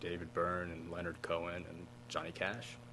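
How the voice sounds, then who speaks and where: Amid noticeable background noise and audible room echo, a man speaks at a fairly slow pace. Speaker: musician. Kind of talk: interview. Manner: halting.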